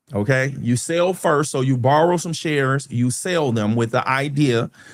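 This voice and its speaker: Recorded very cleanly with a silent background, a man uses a normal speaking voice at a moderate pace, medium pitch and ordinary pitch variation. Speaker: stock market educator, channel host. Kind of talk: live stream market recap and Q&A. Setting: live stream. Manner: explanatory, self-correcting.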